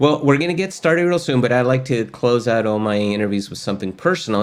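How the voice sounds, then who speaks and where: A man with a Spanish accent talks at a very fast pace with lively intonation. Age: old. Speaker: course host, tech educator. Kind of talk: casual interview chat.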